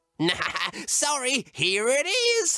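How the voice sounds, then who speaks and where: This is a put-on character voice pitched high. It makes very wide pitch swings. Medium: read story. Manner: giggly, cheerful.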